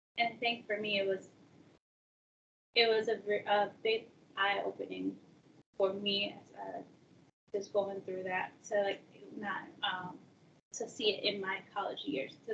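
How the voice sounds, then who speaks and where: Fairly even in intonation, a woman's medium-pitched voice carries vocal fry. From Peru, raised in US from age seven. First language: Spanish. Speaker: college access advisor. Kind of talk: personal interview talk. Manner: casual, many fillers.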